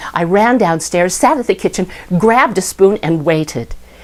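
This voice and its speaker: Her voice is an unremarkable speaking voice, as a woman speaks at a moderate pace and a fairly low pitch with ordinary pitch variation. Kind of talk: personal memory storytelling.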